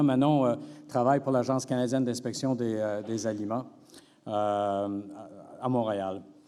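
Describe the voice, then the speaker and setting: A man with a Quebec accent talks fairly slowly in a dark, mellow tone at a medium pitch, with fairly even intonation and audible room echo. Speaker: veterinary professor. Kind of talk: conference talk. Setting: stage with audience. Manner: hesitant, many fillers.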